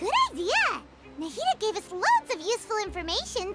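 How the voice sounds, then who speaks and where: Over loud music in the background, a squeaky, put-on character voice talks at a fairly quick pace and an extremely high pitch. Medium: video game. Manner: calm, measured.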